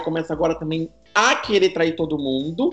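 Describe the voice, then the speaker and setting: A man speaks with music playing in the background. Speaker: podcast guest. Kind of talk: casual chat.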